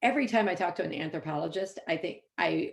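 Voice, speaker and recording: A woman speaks. Her voice has vocal fry. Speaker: epidemiologist. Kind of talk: panel discussion. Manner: fast.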